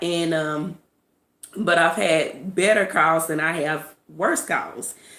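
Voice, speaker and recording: The woman's voice has a fairly low pitch. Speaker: vlogger. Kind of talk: casual monologue.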